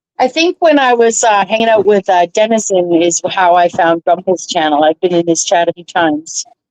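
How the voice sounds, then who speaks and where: A woman with an ordinary speaking voice talks at a moderate pace with hardly any pauses. Her medium pitch shows ordinary variation, in a dry, close sound with no echo. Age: 50s. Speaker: livestreamer. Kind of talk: casual chat.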